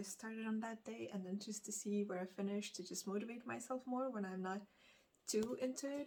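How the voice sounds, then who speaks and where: A woman at a fairly quick pace, in a Lithuanian accent. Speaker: book vlogger. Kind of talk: casual vlog chat. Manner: halting, many fillers.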